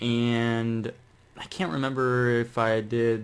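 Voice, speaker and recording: The man's voice sits at a medium pitch. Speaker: YouTuber. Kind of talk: tutorial. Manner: slow with long pauses; casual, hesitant with many fillers.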